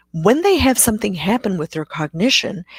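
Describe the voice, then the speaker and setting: Dry and close with no echo, the recording catches a woman whose voice is somewhat breathy. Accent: South African. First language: Afrikaans. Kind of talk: live Q&A webcast. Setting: live stream. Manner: hesitant, many fillers.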